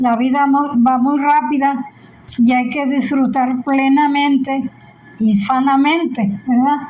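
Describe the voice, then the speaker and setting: Delivered at a very slow pace with fairly even intonation and very even loudness, the speech carries audible room echo and noticeable background noise. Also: woman, high pitch for a woman. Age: 80s+. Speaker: grandmother. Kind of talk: family interview.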